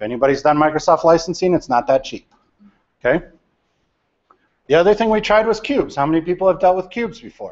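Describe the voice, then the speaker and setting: Against a quiet background, a loud man with a high pitch talks at a very fast pace, broken by long, frequent pauses. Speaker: data architect. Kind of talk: lecture to a university class. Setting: large lecture hall. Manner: loud, projecting. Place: classroom.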